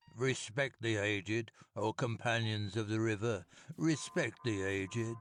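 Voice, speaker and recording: A man puts on a character voice that is whiny, shaky and croaky. His pitch is medium and his pace moderate. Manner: quavering, whining.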